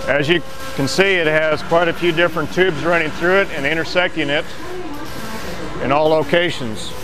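Over loud background noise, a man with a fairly high pitch speaks at a moderate pace. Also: ordinary pitch variation.

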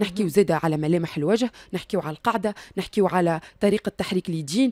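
A woman with a dark, mellow tone and lively intonation talks at a fairly quick pace, the sound dry with no echo and the background quiet. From Tunisia. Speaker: recruiter; interview guest. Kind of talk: radio interview. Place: studio. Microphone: studio mic.

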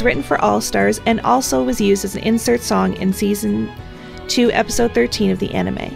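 A woman talking at a fairly quick clip with very wide swings in pitch, music playing behind her. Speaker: fan video commentator. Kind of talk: ranking commentary narration.

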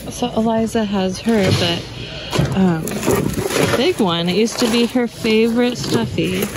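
A woman speaks at a very slow pace, her voice dry with no echo, against loud background noise. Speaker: reseller thrift shopper. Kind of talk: casual vlog chat. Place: shop. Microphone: phone near.

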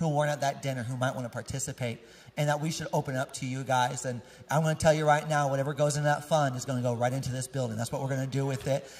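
A man talks at a very fast pace, somewhat breathy, with monotone, flat intonation. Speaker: pastor giving announcements. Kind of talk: casual church announcements to congregation. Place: church. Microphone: handheld.

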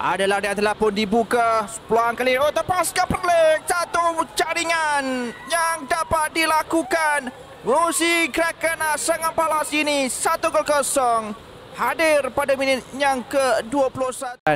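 A raised, projected voice with a Malaysian accent moves at a very slow pace with lively intonation and very even loudness. Noticeable background noise sits behind it. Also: man, extremely high pitch for a man. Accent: Malaysian Malay. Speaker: football commentator.

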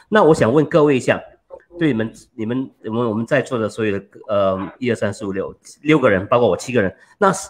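A man is speaking. His words come at a fairly quick pace. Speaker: talk show moderator. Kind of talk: panel discussion. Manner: joking. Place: home room. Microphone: studio mic.

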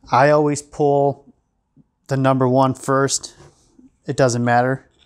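A man against a quiet background. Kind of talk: tutorial. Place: workshop.

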